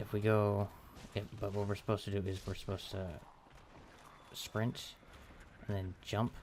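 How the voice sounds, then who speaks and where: A quiet man speaks at a moderate pace in a fairly low pitch, his intonation monotone and flat, with long, frequent pauses. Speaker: gaming let's play creator. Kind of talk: gameplay commentary. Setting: home recording at night. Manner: halting.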